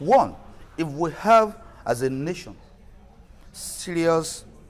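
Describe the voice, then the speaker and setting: This is a man speaking. He has a Nigerian accent. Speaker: culture and heritage advocate. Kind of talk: TV talk show interview.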